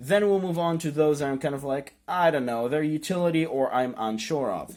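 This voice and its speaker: Speaking at a moderate pace with a non-native accent, the man has a fairly high pitch. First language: not English. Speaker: YouTuber, card game deck profiler. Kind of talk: casual tutorial. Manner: hesitant, many fillers.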